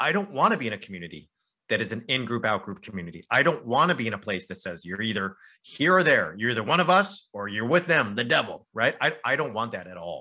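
Against a quiet background, a man with an American accent talks very fast at a medium pitch, with very wide pitch swings and a bright, sharp tone. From southern California. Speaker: professor and podcast co-host. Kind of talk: casual interview conversation.

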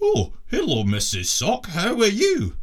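This man's voice is a put-on character voice. His delivery is fairly slow. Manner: playful, puppet voice.

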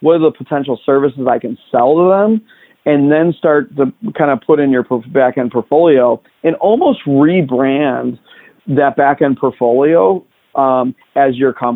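A man with an American accent speaks at a moderate pace in an unremarkable speaking voice. His pitch is fairly high, with ordinary variation. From Chicago, south side. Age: 40s. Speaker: tech industry executive. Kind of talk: interview conversation.

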